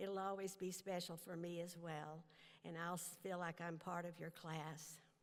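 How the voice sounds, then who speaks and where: A woman talks at a moderate pace in a fairly low pitch. Her intonation stays monotone and flat, and the room echo is audible. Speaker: honorary degree recipient, humanitarian leader. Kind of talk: commencement speech. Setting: stage with audience.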